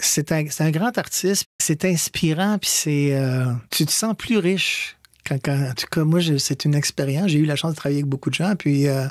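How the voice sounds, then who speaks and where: Delivered at a moderate pace, the speech keeps very even loudness and ordinary pitch variation in a dry, close sound with no echo. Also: man, fairly high pitch for a man. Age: 60s. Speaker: stage actor. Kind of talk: radio interview. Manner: halting.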